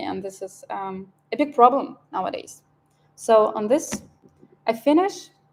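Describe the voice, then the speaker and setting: This woman's voice sits fairly high, with ordinary pitch variation. Her pace is moderate. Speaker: scientist giving a talk. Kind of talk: lecture. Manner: halting, many fillers.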